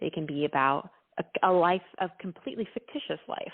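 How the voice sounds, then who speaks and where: A woman's fairly slow speech with a slight Texan accent. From Texas, Dallas. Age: 20s. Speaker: singer-songwriter. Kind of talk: interview. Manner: casual, with fillers.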